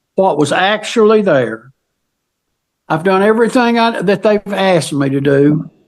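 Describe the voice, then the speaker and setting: A high-pitched man's voice with a Southern US accent, lively intonation, very even loudness and a moderate pace. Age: 70s. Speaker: witness to an old crime scene. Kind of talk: casual conversation. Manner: halting.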